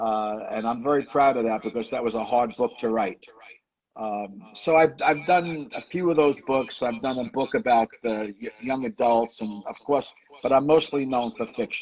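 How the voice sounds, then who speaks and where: The speaker has a New York accent. The pace is moderate, with ordinary pitch variation. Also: man. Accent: New York, like the Sopranos. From New York, the Bronx. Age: 70s. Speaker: author. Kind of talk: interview.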